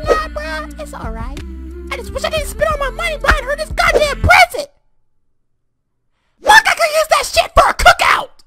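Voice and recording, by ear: The speaker leaves long, frequent pauses while faint music plays in the background. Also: moderate pace.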